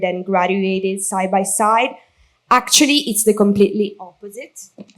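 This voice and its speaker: A woman speaks at a medium pitch. She has a strong Italian accent. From Italy. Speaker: maid of honor. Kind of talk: wedding speech read from notes. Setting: wedding reception.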